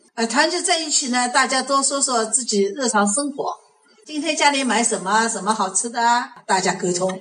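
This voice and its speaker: Over noticeable background noise, a woman with a high voice speaks at a moderate pace with lively intonation. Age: 60s. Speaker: retired community volunteer. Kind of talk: casual chat.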